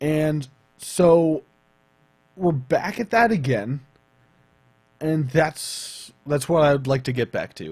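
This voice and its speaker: His pitch is fairly high for a man, somewhat breathy, with lively intonation. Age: 20s. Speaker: vlogger and streamer. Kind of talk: casual vlog talk.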